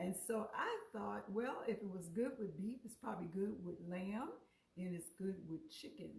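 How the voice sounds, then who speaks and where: Speaking at a fairly quick pace, a woman uses a medium pitch with ordinary pitch variation and vocal fry. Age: 60s. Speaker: cooking show host. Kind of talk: live cooking stream. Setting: live on Facebook. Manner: casual, halting.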